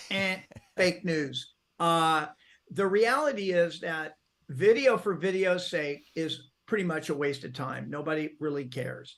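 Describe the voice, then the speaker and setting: Over a quiet background, a man with a high pitch talks at a fairly slow pace in an energetic tone. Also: ordinary pitch variation. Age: 70s. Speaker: real estate video marketer. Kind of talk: interview.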